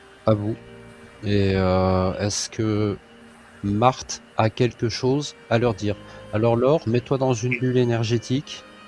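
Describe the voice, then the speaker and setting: A man speaks at a very slow pace with music playing in the background. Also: medium pitch for a man, ordinary pitch variation. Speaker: hypnotherapist. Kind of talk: hypnosis session. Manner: loud.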